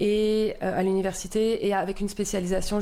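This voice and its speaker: In a dark, mellow tone, a woman speaks at a moderate pace with monotone, flat intonation. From southern France, Marseille region. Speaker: municipal community life coordinator. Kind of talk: podcast interview. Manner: hesitant, many fillers.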